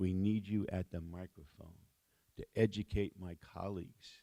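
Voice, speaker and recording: With a very deep, low pitch and a dark, mellow tone, a man speaks at a moderate pace and fairly even intonation in dry, close sound with no echo. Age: 60s. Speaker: city mayor. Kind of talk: keynote speech.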